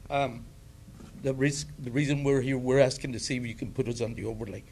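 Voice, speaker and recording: Audible room echo accompanies a man talking at a fairly quick pace with ordinary pitch variation. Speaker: public commenter. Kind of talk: public comment at council meeting. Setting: city council meeting. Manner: loud.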